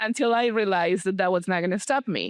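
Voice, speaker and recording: At a fairly quick pace, a woman speaks with a non-native accent. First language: not English. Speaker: podcast host. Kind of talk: interview. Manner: halting.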